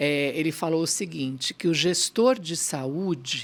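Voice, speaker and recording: A woman in a normal speaking voice, fairly low in pitch with ordinary pitch variation, on a very clean recording with a silent background. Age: 60s. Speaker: pediatrician and pharmaceutical executive. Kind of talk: interview.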